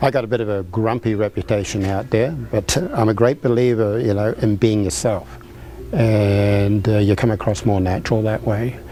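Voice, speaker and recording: Here a man speaks with a New Zealand accent. His pitch is fairly low and his pace moderate. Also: fairly even intonation. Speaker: restaurant owner. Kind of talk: interview. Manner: halting, many fillers.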